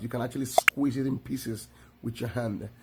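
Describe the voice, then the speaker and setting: Somewhat breathy male voice at medium pitch, with a Nigerian accent. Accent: Nigerian English (Igbo). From Nigeria (Igbo, village upbringing). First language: Igbo. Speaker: video creator. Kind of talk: tutorial. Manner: casual, repetitive with self-corrections.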